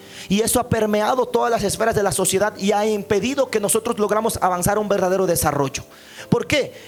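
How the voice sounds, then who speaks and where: A man with a high-pitched voice talks very fast, with ordinary pitch variation and very even loudness, over noticeable background noise. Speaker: pastor. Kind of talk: sermon. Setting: church.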